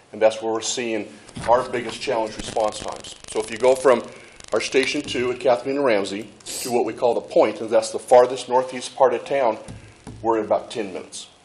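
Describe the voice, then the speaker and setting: A man's monotone, flat delivery at a medium pitch, fairly quick in pace, over noticeable background noise. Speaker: fire chief. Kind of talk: presentation at public meeting. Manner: fast.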